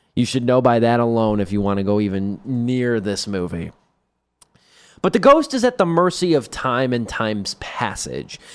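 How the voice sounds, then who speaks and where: A man's medium-pitched, unremarkable speaking voice, with lively intonation at a fairly slow pace. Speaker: radio host. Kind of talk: radio show film review. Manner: casual, conversational.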